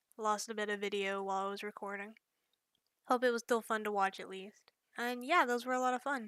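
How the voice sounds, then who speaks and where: Bright and sharp in tone, a woman with a slight Southern US accent speaks at a fairly quick pace and fairly high pitch with fairly even intonation, recorded dry and close with no echo on a very clean, silent background. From US South, rural north Georgia mountains. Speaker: digital artist. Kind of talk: casual chat.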